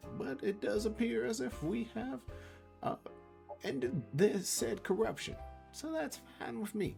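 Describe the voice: A man's squeaky, put-on character voice, high in pitch, at a fairly slow pace with long, frequent pauses and clear music in the background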